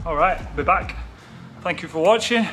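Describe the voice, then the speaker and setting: Faint music plays in the background. A man speaks in a high pitch. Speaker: fitness vlogger. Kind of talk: casual vlog chat. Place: gym.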